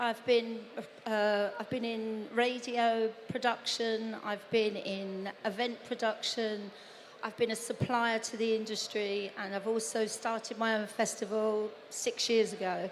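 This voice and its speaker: Against noticeable background noise, a woman talks at a fairly slow pace and a fairly high pitch with monotone, flat intonation. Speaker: festival founder and events producer. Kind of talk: panel discussion.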